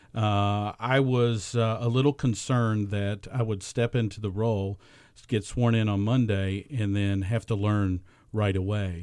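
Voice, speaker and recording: At a moderate pace, the speech comes through in a very clean recording against a silent background. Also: man. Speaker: incoming school board member. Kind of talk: radio interview. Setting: studio. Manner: halting.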